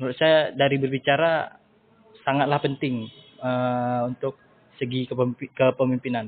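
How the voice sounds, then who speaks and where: A man talks at medium pitch and a fairly slow pace. His intonation is monotone and flat, broken by long, frequent pauses. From Indonesia. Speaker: university student. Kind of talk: podcast interview. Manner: hesitant, many filler sounds.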